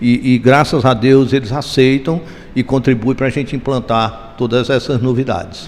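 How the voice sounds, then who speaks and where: Against noticeable background noise, a man talks at a moderate pace with a medium pitch. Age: 70s. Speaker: real estate developer. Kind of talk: interview. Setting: event venue.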